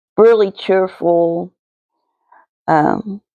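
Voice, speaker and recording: With an Appalachian accent, a woman speaks in a dark, mellow tone with ordinary pitch variation, the sound dry and close with no echo. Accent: Appalachian (West Virginia). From West Virginia, Kanawha County (Cabin Creek). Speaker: resin art hobbyist vlogger. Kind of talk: casual voiceover for craft video. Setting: home, voice recorded after filming. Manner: hesitant, many fillers.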